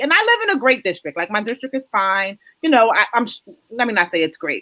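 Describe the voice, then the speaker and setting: A woman speaks loudly and at a fairly quick pace, her pitch high. Her tone is animated, bright and sharp. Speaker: talk show host. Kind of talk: casual panel discussion.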